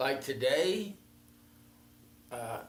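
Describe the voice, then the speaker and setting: Audible room echo surrounds a man with an American accent who talks very slowly, his pitch swinging very widely. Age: 80s+. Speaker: retired local politician. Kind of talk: casual interview. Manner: halting.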